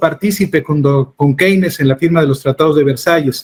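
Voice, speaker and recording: Fairly quick and fairly high-pitched, this man has an unremarkable speaking voice with ordinary pitch variation. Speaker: interviewer. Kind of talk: interview.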